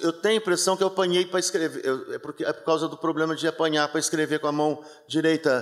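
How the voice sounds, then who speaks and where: A man with a Minas Gerais accent, his voice fairly high-pitched with ordinary pitch variation. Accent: Minas Gerais (mineiro) way of speaking. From Brazil, interior of Minas Gerais. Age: 60s. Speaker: theatre director. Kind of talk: interview at a book launch talk. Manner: relaxed, soft drawl; halting, many fillers and repetitions.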